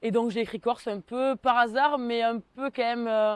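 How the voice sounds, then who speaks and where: Her voice is fairly high in pitch. The woman's sound is dry and close, with no echo. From southwestern France, Tarn (Mazamet). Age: 20s. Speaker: civic service volunteer. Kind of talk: interview testimony. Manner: hesitant, with frequent fillers.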